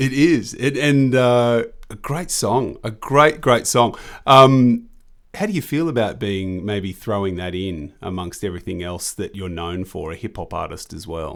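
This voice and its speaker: A man with an Australian accent speaks at a medium pitch and a fairly slow pace, with lively intonation and big swings in loudness. The recording is very clean, with a silent background. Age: 30s. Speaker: podcast host. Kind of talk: interview.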